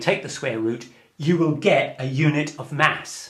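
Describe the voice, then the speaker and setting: With audible room echo, a man speaks at a moderate pace in a fairly high pitch and lively intonation. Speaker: physics lecturer. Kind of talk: lecture.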